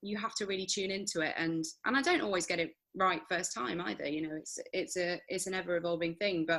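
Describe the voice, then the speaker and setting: This voice has a Nottingham accent and a bright, sharp tone. It moves at a very fast pace with ordinary pitch variation. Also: woman, medium pitch for a woman. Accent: regional Nottingham. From Nottingham, England. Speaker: actress and voiceover artist. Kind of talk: interview. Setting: podcast.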